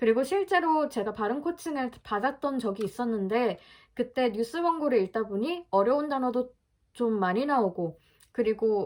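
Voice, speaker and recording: At a moderate pace, a woman with a high pitch and lively intonation speaks on a very clean recording with a silent background. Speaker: vlogger practicing pronunciation. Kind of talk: casual vlog talk.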